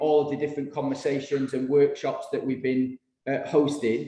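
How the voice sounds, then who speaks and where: Audible room echo surrounds this recording of a man. He has a northern English accent and a fairly high pitch. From northern England. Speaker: consultant writing a legacy plan. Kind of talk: workshop presentation. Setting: room with audience and video call. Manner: hesitant, many fillers.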